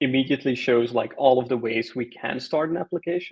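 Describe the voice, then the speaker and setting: The man talks at a moderate pace. His intonation stays fairly even. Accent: Flemish. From Belgium. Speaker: open-source software maintainer. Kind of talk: technical tutorial chat.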